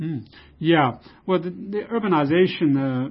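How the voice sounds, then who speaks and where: A man with a Chinese accent speaks in a somewhat breathy voice with lively intonation. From China. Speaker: research institute director, economist. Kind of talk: interview. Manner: hesitant, many fillers.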